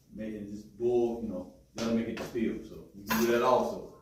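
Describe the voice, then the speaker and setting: A man's speech runs fairly quickly. The room echo is audible, and background noise is noticeable. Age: 60s. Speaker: health workshop presenter. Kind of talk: workshop talk. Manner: halting, repeats words.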